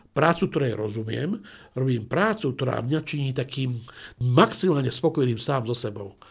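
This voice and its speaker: Somewhat breathy, a man speaks at a medium pitch in a very clean recording with a silent background. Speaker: management school president and business coach. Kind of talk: interview.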